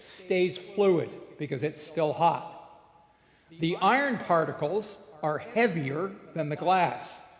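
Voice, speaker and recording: Speaking very slowly in a Canadian accent, a high-pitched man uses lively intonation amid audible room echo and noticeable background noise. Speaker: blacksmith giving a lecture. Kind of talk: lecture.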